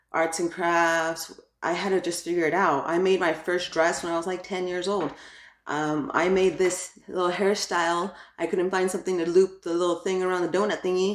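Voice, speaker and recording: In a Spanish accent, a woman speaks with a fairly low pitch and monotone, flat intonation. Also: moderate pace. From New York (Brooklyn), Ecuadorian family. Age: adult. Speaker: YouTuber, crafts and parenting. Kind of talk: channel introduction vlog. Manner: casual, filler-heavy (like, um); talkative.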